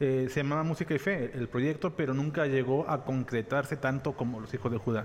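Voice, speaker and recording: A normal speaking voice moves at a fairly quick pace with hardly any pauses and ordinary pitch variation. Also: man, medium pitch for a man. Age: 30s. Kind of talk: casual chat.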